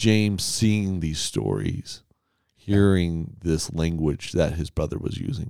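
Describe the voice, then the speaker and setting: A man talks at a fairly slow pace with a very deep, low pitch. His tone is dark and mellow, with ordinary pitch variation. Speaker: podcast host and church staff member. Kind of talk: casual chat.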